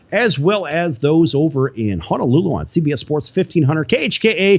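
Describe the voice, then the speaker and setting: Fairly high-pitched and talking at a fairly quick pace, a man with an unremarkable speaking voice uses lively intonation. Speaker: sports talk show host. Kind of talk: radio show affiliate shout-outs.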